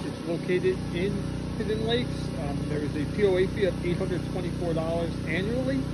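Loud background noise surrounds a man who speaks at a fairly slow pace. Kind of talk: property tour narration. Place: street. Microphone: phone near.

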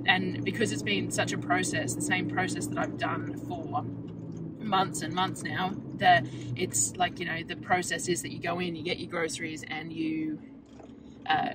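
A woman at a moderate pace, dry with no echo, under loud background noise. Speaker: vlogger. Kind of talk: casual vlog chat. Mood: relaxed, chatty. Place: car. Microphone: phone near.

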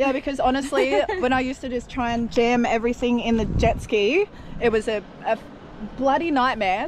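A woman's high voice at a fairly quick pace with ordinary pitch variation, a dry sound with no echo, and noticeable background noise. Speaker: vlogger. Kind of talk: casual vlog chat. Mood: playful, laughing often. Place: street. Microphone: phone near.

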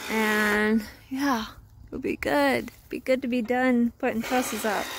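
With noticeable background noise but a dry sound with no echo, a woman speaks with ordinary pitch variation. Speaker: farm vlogger. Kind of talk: casual vlog chat. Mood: relaxed, end of day. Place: farm machine. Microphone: phone near.

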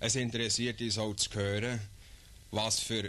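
At a moderate pace, a man speaks with a fairly low pitch, a bright, sharp tone and fairly even intonation. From Switzerland. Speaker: official explaining census. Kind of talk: scripted official explainer narration. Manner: formal, measured, earnest official tone. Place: studio. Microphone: old recording.

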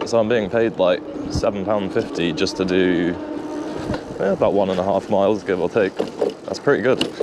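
At a moderate pace and with ordinary pitch variation, the voice sounds dry with no echo against loud background noise. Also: man. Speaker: food delivery rider vlogger. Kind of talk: casual vlog chat. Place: bicycle. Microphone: phone near.

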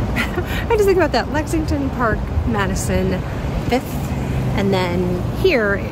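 Loud background noise surrounds a woman's voice in a dry recording with no echo. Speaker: lifestyle vlogger. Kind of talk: casual vlog chat. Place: street. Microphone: phone near.

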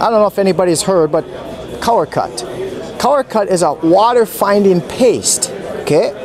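The man speaks with an American accent at a high pitch and a moderate pace, his loudness very even. The sound is dry with no echo, and there is noticeable background noise. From Minnesota. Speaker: product demonstrator. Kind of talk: product demonstration. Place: hall.

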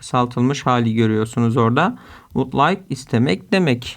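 A man with a plain, everyday voice speaks at a moderate pace. His medium pitch shows ordinary pitch variation. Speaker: English teacher. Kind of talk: tutorial.

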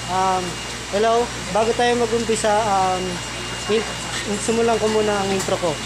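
The speech moves at a moderate pace, with noticeable background noise. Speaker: first-time vlogger. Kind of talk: casual vlog chat. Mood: playful, slightly awkward. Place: market. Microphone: phone near.

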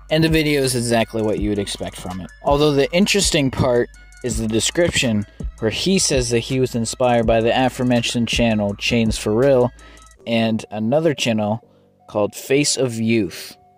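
A man's medium-pitched voice at a moderate pace with ordinary pitch variation, music playing in the background. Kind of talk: casual commentary narration.

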